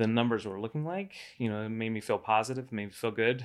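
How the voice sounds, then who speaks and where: With an American accent, a man speaks in a normal speaking voice at medium pitch with fairly even intonation. The recording is very clean, with a silent background. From Florida, Cocoa Beach area. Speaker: IT professional and business buyer. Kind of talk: casual interview.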